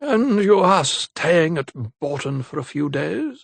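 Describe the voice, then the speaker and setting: Speaking in a put-on character voice, a man talks at a fairly slow pace with a raspy, fairly high pitch and lively intonation. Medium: read story. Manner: genial, old-fashioned.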